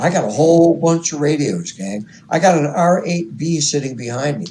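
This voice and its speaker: Here a man speaks at a moderate pace with a fairly high pitch and lively intonation. His tone is dark and mellow, and somewhat breathy. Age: 70s. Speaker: radio hobbyist interviewee. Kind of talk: interview.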